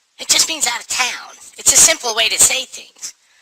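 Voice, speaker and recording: A man performs a put-on character voice at a moderate pace. His loudness swings widely. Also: extremely high pitch for a man. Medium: audio drama. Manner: deadpan, plain.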